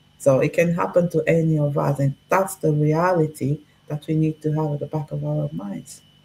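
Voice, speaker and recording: Speaking at a moderate pace with ordinary pitch variation, a woman with a Portuguese accent has a very deep, low pitch. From Portugal. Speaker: discussion guest. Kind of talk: casual chat. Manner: direct.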